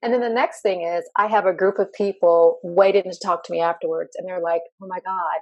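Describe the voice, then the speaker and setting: A woman talks at a fairly quick pace. She has a slight Southern US accent. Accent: slight Southern US country. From Tennessee. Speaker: LGBTQ workplace inclusion consultant and speaker. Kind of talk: interview conversation.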